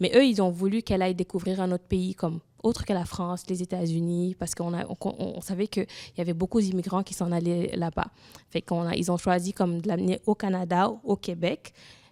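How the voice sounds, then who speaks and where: A woman with a Senegalese accent has a dark, mellow tone and fairly even intonation. She moves at a fairly quick pace, in a dry, close sound with no echo. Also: very clean recording, silent background. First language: Wolof (speaking French). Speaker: immigrant woman sharing her experience. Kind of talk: testimony in a panel discussion. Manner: halting, with many restarts.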